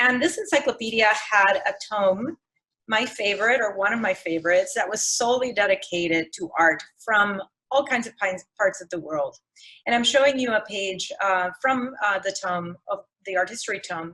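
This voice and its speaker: A woman with a Spanish accent speaks at a moderate pace in a fairly high pitch. Her tone is bright and sharp, and her intonation is lively. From Puerto Rico. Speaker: museum educator and artist. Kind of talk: lecture. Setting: video call. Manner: halting.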